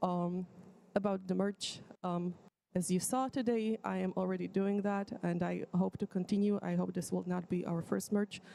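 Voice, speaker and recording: A woman with a non-native accent speaks at medium pitch and a moderate pace, her tone dark and mellow and her intonation fairly even. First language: not English. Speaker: student organization board candidate. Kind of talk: presentation of a plan at an assembly. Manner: halting, many fillers.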